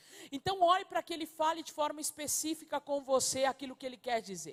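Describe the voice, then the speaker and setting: A high-pitched woman talks at a very fast pace with ordinary pitch variation, recorded dry and close with no echo. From Uruguay. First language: Spanish (speaking Portuguese). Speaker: pastor. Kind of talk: sermon.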